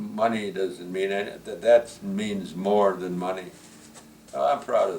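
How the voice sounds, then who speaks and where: A man with an American accent speaks at a fairly slow pace, with big swings in loudness and noticeable background noise. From US Midwest, Milwaukee. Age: 90s. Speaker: retired teacher and coach. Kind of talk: family interview. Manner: halting.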